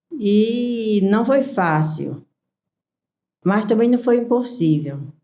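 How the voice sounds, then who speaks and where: Lively in intonation, a woman with a fairly high pitch and a dark, mellow tone speaks at a very slow pace. Room echo can be heard. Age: 60s. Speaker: small business owner. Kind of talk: interview.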